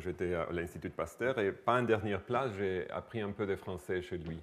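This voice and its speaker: This voice has a non-native accent and ordinary pitch variation at a moderate pace. The recording is very clean, with a silent background. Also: man. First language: not French (speaking French). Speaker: microbiology researcher. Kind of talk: lecture. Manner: halting.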